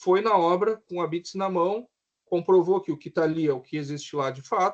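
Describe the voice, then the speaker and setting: This man has a high voice. His pitch variation is ordinary. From southern Brazil, Rio Grande do Sul. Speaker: civil engineer. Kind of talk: lecture.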